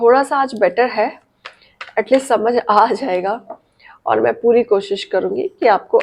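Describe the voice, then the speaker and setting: A woman speaks at a very slow pace. Her fairly high voice has a dark, mellow tone. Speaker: tarot reader and numerologist. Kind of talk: tarot reading to camera. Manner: friendly, direct address, Hindi-English mix.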